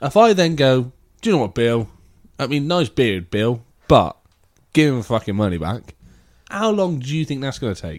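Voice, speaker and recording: With an English accent, a man speaks at a medium pitch and moderate pace, his pitch swinging very widely between long, frequent pauses. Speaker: podcast host. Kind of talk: casual chat.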